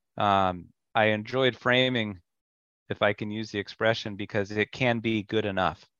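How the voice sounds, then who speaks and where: A man with a normal speaking voice, fairly low in pitch, at a moderate pace and with fairly even intonation. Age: 40s. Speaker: home builder. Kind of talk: casual chat.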